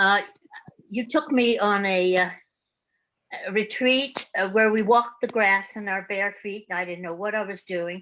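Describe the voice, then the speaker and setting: Speaking at a moderate pace with long, frequent pauses, a woman uses a bright, sharp tone at a medium pitch with ordinary pitch variation. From Germany. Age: 80s+. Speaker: retired therapist, meditation participant. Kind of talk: personal sharing in online group discussion. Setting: video call. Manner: halting.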